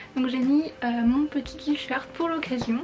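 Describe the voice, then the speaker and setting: A woman talks with fairly even intonation and a high pitch against noticeable background noise. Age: 20s. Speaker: fashion and photo youtuber. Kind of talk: vlog explainer. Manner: casual, hesitant.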